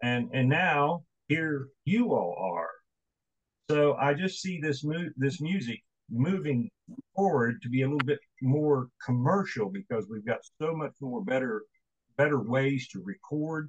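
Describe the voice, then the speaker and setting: The voice is somewhat breathy, with lively intonation and a fairly slow pace, recorded dry and close with no echo. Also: man, fairly high pitch for a man. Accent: Appalachian. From West Virginia. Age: 60s. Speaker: radio host. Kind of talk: interview.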